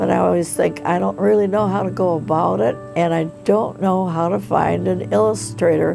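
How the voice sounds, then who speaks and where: Over clear music in the background, a woman with a very deep, low pitch talks at a moderate pace, making very wide pitch swings. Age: 80s+. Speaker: aspiring children's book author. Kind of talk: documentary interview answer. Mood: warm, reflective storytelling. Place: home room.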